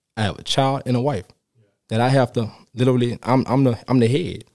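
In a New Orleans accent, a dark, mellow tone comes through at a moderate pace. The recording is very clean, with a silent background. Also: man. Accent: New Orleans Southern US. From New Orleans, Louisiana. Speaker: special education teacher. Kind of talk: casual chat. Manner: halting, many repetitions.

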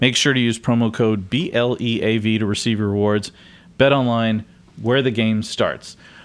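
A man talks at a medium pitch in a plain, everyday voice. His pace is fairly slow, with fairly even intonation and very even loudness. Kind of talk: casual chat.

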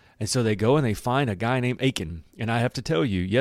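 Plain reading aloud, pitch varying in an ordinary way

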